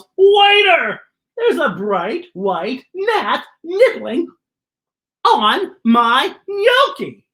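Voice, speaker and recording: A very slow, shouted, put-on character voice at an extremely high pitch. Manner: yelling; indignant, complaining.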